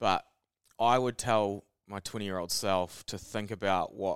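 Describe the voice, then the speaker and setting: A man with a New Zealand accent speaks with fairly even intonation. The sound is dry and close, with no echo, on a very clean recording with a silent background. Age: 30s. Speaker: podcast co-host. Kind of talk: casual chat.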